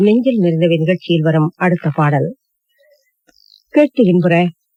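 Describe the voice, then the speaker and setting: The voice has a dark, mellow tone and lively intonation, with a dry, close sound and no echo. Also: woman. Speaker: radio announcer. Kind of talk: radio program announcement. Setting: radio broadcast.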